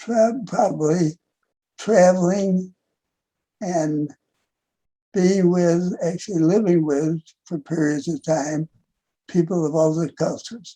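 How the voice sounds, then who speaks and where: A man speaks at a very slow pace with long, frequent pauses. His voice is high-pitched with a dark, mellow tone and ordinary pitch variation. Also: dry, close sound with no echo. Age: 80s+. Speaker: author and war veteran. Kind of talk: interview. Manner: halting.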